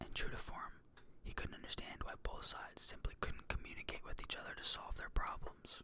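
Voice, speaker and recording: Whispering at a fairly quick pace. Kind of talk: audiobook-style reading. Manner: whispered, soft-spoken.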